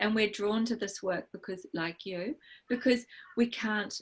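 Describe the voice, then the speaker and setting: Somewhat breathy speech at a fairly slow pace, with lively intonation. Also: woman. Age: 60s. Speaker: birth and fertility practitioner, acupuncture teacher. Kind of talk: interview.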